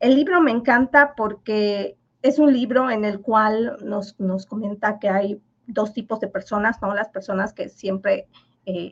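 The voice is somewhat breathy and moves at a fairly slow pace. Its pitch varies in an ordinary way. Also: woman. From Yucatán, Mexico (Maya village). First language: Yucatec Maya (speaking Spanish). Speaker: finance professor. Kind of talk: interview.

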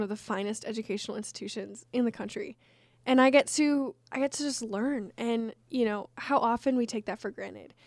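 Very clean recording, silent background, of a woman speaking in a normal speaking voice. Her pitch is fairly high, her intonation fairly even and her pace fairly quick. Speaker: college radio podcast co-host. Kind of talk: casual chat.

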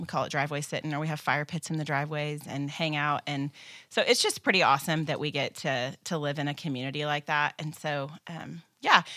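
Speaking fairly quickly with an American accent, the voice has a bright, sharp tone and a flat, monotone delivery. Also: woman, very deep, low pitch for a woman. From US Midwest, small town in northeast Kansas. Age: 40s. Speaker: church children's ministry staff. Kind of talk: casual interview.

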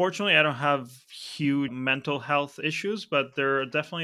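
With a Spanish accent, a man talks at a moderate pace in a fairly high pitch with a bright, sharp tone. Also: very clean recording, silent background. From Argentina, Buenos Aires. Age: 30s. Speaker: software agency founder. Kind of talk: casual interview.

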